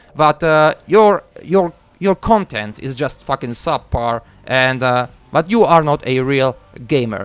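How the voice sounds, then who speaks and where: Over music in the background, a man with a Polish accent speaks with a fairly high pitch and lively intonation in a dry, close sound with no echo. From Poland. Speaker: gaming YouTuber. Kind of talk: video commentary rant.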